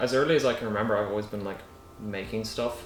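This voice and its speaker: Very fast speech from a man with a fairly low pitch and an Irish accent, amid audible room echo and noticeable background noise. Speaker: art student. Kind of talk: documentary interview.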